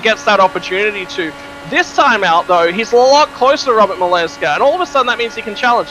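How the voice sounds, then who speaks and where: A man with an Australian accent projects his raised, high-pitched voice at a very fast pace. His intonation is lively, over noticeable background noise. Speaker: esports racing commentator. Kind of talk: live commentary.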